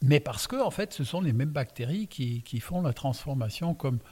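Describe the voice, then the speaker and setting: With a dark, mellow tone and a somewhat breathy quality, a man talks at a moderate pace and medium pitch with lively intonation. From Alsace. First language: Alsatian (speaking French). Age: 60s. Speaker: winemaker. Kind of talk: casual interview. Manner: calm.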